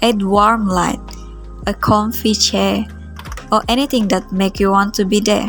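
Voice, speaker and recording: Music plays in the background as a woman speaks with a non-native accent. Her medium-pitched voice keeps fairly even intonation at a fairly slow pace. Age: 20s. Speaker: art vlogger. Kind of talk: reflective vlog voice-over.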